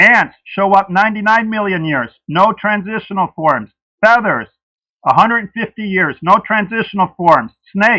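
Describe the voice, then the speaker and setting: A man's raised, projected voice, high-pitched, with a bright, sharp tone, ordinary pitch variation, and a dry, close sound with no echo. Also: moderate pace. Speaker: creationist debater. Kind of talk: debate opening statement. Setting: livestream debate.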